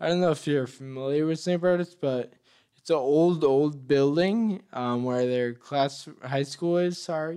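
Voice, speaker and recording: A man's fairly high, dark, mellow voice with an American accent, at a fairly slow pace with ordinary pitch variation. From Massachusetts, US. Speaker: author and motivational speaker. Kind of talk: interview. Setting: studio.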